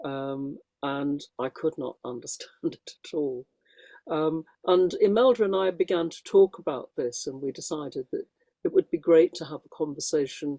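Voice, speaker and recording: At a moderate pace, a woman with a very deep, low pitch and a dark, mellow tone talks with ordinary pitch variation and big swings in loudness, in a dry, close sound with no echo. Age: 70s. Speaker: spiritual teacher and author. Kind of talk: panel discussion. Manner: halting, many fillers.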